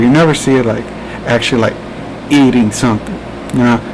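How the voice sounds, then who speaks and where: A man at medium pitch with a New Jersey accent, music playing in the background. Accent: New Jersey American. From New Jersey, US. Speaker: podcast host. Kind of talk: casual chat. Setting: live stream. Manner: halting.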